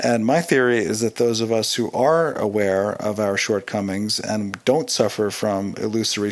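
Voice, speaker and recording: A man's plain, everyday voice, fairly low in pitch, with ordinary pitch variation at a moderate pace. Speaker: listener contributor. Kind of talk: recorded listener story.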